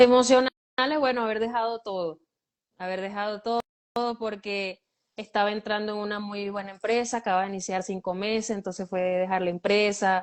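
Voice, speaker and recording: A woman at medium pitch, fairly quick in pace, with fairly even intonation. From Venezuela. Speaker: guest, runs a shelter for girls. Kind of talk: interview.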